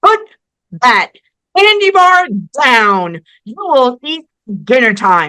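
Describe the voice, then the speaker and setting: A put-on character voice with very wide pitch swings, a very slow pace, and long, frequent pauses. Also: female-sounding voice, high pitch for a woman. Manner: commanding.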